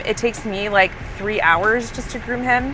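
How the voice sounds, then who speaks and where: Against music in the background, a woman speaks at a moderate pace with ordinary pitch variation. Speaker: vlogger and brand founder. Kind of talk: casual vlog. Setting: in a car.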